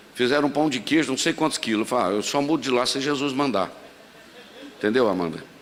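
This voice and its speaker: Noticeable noise fills the background. Over it, a man talks with lively intonation. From Brazil, Minas Gerais. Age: 60s. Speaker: pastor. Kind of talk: sermon. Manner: conversational, humorous asides.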